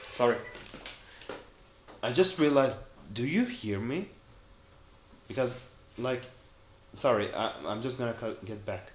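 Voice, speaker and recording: A man's medium-pitched voice at a moderate pace, with lively intonation, long, frequent pauses and noticeable background noise. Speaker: gaming YouTuber. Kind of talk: casual gameplay commentary. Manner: halting, self-correcting.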